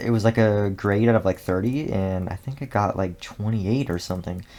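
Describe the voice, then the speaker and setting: A man's fairly low pitch with ordinary pitch variation, in a very clean recording over a silent background. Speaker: gaming YouTuber. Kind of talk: casual gameplay commentary. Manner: halting, many ums and repetitions.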